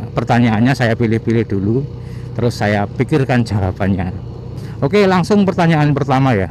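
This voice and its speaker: With an East Javanese accent, a man speaks at medium pitch and a moderate pace. Noticeable background noise is present. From East Java, Mojokerto. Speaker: motovlogger. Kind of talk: casual vlog monologue answering viewer questions.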